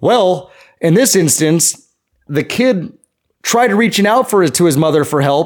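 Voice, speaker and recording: Recorded very cleanly against a silent background, a man with a high voice talks at a moderate pace with ordinary pitch variation. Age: 30s. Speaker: podcast co-host, works in landscaping. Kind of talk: casual chat.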